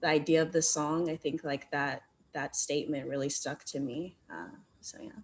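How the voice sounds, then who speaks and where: A woman talks at a moderate pace, with big swings in loudness. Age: young. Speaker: student exhibitor. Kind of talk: panel discussion.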